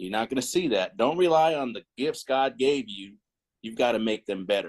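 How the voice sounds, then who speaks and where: A man with an American accent speaks in an ordinary speaking voice at a moderate pace, his pitch varying in the usual way. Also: quiet background. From Northern California (Stockton). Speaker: former high school football player, Air Force veteran. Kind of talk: interview. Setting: remote call.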